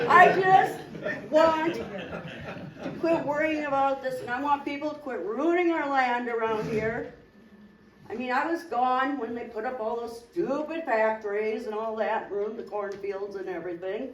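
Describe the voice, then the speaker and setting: Against audible room echo, a woman speaks at a fairly slow pace and a high pitch, with lively intonation and big swings in loudness. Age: 60s. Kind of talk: testimony.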